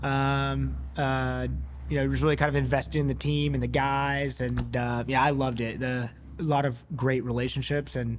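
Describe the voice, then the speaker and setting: Speaking with an American accent at a moderate pace, a man is heard with audible room echo. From US South, East Tennessee. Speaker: physician (ENT). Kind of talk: casual interview chat.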